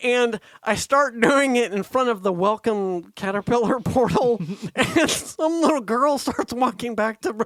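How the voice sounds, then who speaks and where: At a fairly slow pace, a man speaks in an extremely high pitch with ordinary pitch variation, the sound dry and close with no echo. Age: 40s. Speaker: podcast co-host. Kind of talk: casual chat. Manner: animated.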